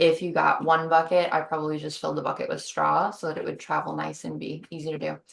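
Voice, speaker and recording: The speech runs at a very fast pace with hardly any pauses. Noticeable background noise sits behind it. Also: woman. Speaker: mushroom growing instructor. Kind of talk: online workshop tutorial.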